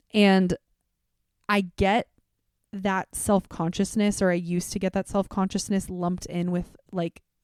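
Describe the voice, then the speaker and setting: A woman speaks at a moderate pace and medium pitch with a dark, mellow tone and monotone, flat intonation. The recording is very clean, with a silent background and a dry, close sound with no echo. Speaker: podcast host. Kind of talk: solo podcast monologue. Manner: loud; casual, conversational.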